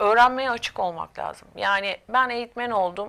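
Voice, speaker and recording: A woman at a moderate pace with ordinary pitch variation, on a very clean recording with a silent background. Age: 50s. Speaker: corporate trainer and coach. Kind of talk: interview. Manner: hesitant, many filler sounds.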